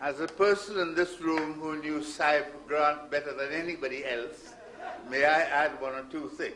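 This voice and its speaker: Against noticeable background noise and audible room echo, a man with a fairly high pitch speaks with fairly even intonation. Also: moderate pace. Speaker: war veteran. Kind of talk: formal speech.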